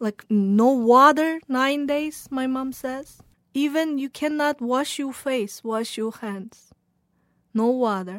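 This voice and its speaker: With a Xinjiang accent, a woman speaks at a high pitch and a very slow pace with ordinary pitch variation, in a very clean recording against a silent background. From Xinjiang, China. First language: Uyghur. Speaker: journalist. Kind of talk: interview testimony. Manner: halting.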